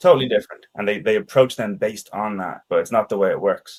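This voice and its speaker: Lively in intonation, a man with a Danish accent talks at a fairly quick pace in a medium pitch. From Ireland and Denmark. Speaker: sales expert. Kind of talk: casual interview chat.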